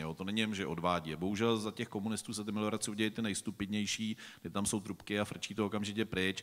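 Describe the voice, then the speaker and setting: Very fast speech comes from a man with a fairly low pitch. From Czechia. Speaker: farmer and forester; panelist. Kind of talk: panel discussion. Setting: stage with audience. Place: stage.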